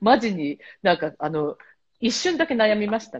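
Very wide pitch swings in a woman's speech. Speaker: travel agency worker and association head. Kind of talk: casual chat. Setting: remote call from Malta.

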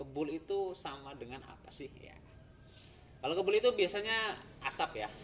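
Long, frequent pauses break up speech at a moderate pace, with very wide pitch swings, big swings in loudness and noticeable background noise. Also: man, high pitch for a man. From Central Java, Indonesia. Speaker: podcast host. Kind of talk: casual chat.

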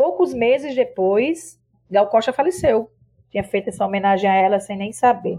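A woman's lively intonation stands out against a quiet background. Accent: northeastern Brazilian. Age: 50s. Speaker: singer and cultural producer. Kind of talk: casual chat.

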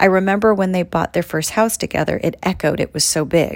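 A woman in a plain, everyday voice talks at a fairly quick pace, her pitch varying in an ordinary way. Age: 40s. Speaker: podcast host and actor. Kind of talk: reading aloud from own book. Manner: warm, upbeat.

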